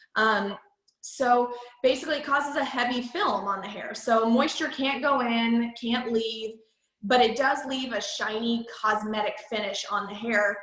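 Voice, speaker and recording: Fairly high-pitched woman's voice at a fairly slow pace, fairly even intonation, big swings in loudness and audible room echo. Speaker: MLM sales trainer. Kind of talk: training presentation.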